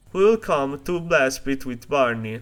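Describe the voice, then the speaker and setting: Over music in the background, a man with an Italian accent speaks at a medium pitch with lively intonation. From Italy. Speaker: video essayist. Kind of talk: video essay narration.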